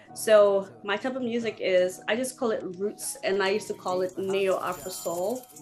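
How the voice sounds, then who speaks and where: Through noticeable background noise, a woman of medium pitch talks at a moderate pace with lively intonation and hardly any pauses. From Zimbabwe. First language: Shona. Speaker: singer and percussionist. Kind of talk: interview.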